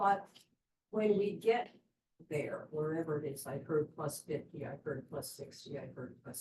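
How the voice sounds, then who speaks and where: Very deep and low in pitch, a woman's dark, mellow, somewhat breathy voice moves at a fairly slow pace with ordinary pitch variation. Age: 70s. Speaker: audience member. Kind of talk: audience question.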